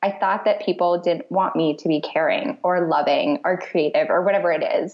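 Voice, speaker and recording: At a moderate pace, a woman speaks at a medium pitch with an American accent. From Michigan, US. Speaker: brand strategist. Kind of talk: interview. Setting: phone call.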